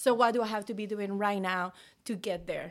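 With a fairly high pitch and ordinary pitch variation, a woman speaks at a fairly quick pace on a very clean recording with a silent background. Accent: Mexican. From Mexico. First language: Spanish. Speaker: realtor. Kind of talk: casual chat. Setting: video recording. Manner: animated.

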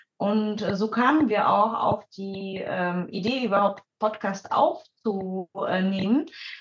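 Somewhat breathy and medium in pitch, a woman speaks at a very slow pace with ordinary pitch variation. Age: 30s. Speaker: psychologist and mother of two. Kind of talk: casual chat.

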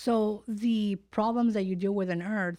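Against a silent background in a very clean recording, a woman talks in a plain, everyday voice with fairly even intonation at a moderate pace. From California. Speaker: podcast host. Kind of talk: casual interview. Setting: studio.

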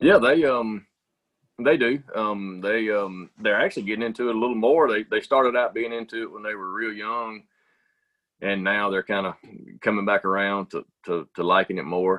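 Speaking in a Southern US accent, a man uses a fairly low pitch, a moderate pace and ordinary pitch variation. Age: 40s. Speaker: business owner. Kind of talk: casual chat.

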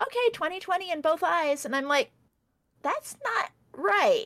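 Bright and sharp in tone, a woman speaks at a moderate pace with very wide pitch swings. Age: 40s. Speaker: streamer and mother. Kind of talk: casual chat.

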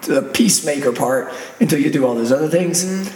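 A man's fairly high voice with ordinary pitch variation, a fairly quick pace and noticeable background noise. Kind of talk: casual faith-based discussion. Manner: theatrical.

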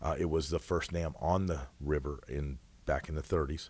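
A man with an American accent speaks with a very deep, low pitch, vocal fry and fairly even intonation. The recording is very clean, with a silent background. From Washington State, US Pacific Northwest. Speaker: mayor and high school football coach. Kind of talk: casual chat.

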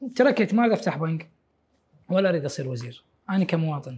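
In a very clean recording against a silent background, a man talks at a fairly quick pace. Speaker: bank employee, guest interviewer. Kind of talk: interview.

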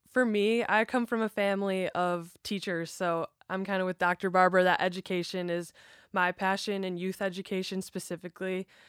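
A woman speaks in a normal speaking voice at a fairly quick pace, her medium pitch held in fairly even intonation, on a very clean recording with a silent background and a dry, close sound with no echo. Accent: American. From Chicago suburbs, US Midwest. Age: 20s. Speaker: professional basketball player. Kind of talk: interview.

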